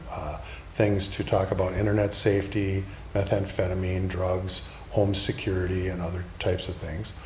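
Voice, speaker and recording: A man with an American accent, fairly low pitch, monotone, flat intonation and a moderate pace, amid audible room echo and noticeable background noise. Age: 60s. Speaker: political candidate, retired police officer. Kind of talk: interview.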